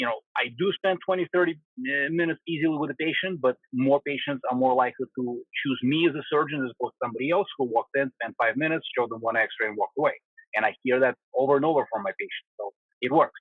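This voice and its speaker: A man with a Russian accent races along at a very fast pace, his fairly high pitch moving with ordinary variation. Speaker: spinal surgeon. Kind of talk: interview answer.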